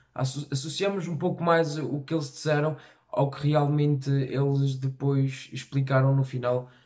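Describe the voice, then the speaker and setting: Against a quiet background, a man talks at a fairly slow pace in a fairly high, somewhat breathy voice with monotone, flat intonation. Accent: European Portuguese. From Portugal, Tarouca. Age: young. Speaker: reaction youtuber. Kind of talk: casual talk to camera. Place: home room.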